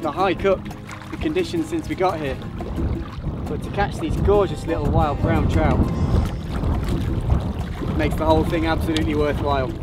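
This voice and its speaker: Over loud background music, a man talks at a moderate pace with long, frequent pauses in a dry sound with no echo. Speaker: presenter. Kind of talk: outdoor commentary. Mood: excited, thrilled. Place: waterside.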